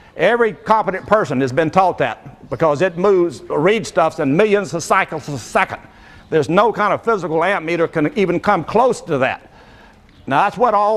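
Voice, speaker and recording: Lively intonation marks this moderate-paced speech in a Southern US accent. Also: man, high pitch for a man. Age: 70s. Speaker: inventor. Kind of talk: live demonstration. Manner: animated.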